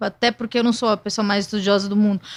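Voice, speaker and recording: Very clean recording with a silent background, carrying a woman's fairly high voice. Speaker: podcast host. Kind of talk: interview.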